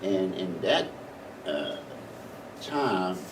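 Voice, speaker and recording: A man talks with lively intonation. Noticeable background noise is heard, along with audible room echo. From US Northeast, Philadelphia. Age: 80s+. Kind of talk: oral history interview.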